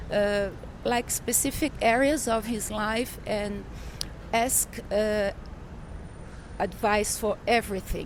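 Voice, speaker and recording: In a Portuguese accent, a woman with a fairly high pitch speaks at a very slow pace with fairly even intonation and long, frequent pauses. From Brazil. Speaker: journalist and author. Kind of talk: interview. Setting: in person in São Paulo. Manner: halting, searching for words.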